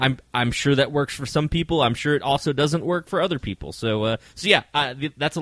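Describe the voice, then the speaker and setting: Moving at a fairly quick pace, the speech has ordinary pitch variation and a dry, close sound with no echo. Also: man. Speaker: touring magician and podcast co-host. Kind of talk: casual chat. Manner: repeats words a lot.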